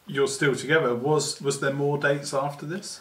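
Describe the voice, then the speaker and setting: A man with a fairly high voice speaks at a moderate speed amid clear background noise. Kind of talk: mock-documentary interviewer questions.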